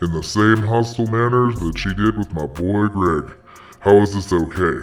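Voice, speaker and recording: Faint music plays in the background as a man performs a put-on character voice. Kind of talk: comedy parody hotline host. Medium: role play. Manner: exaggerated, slangy.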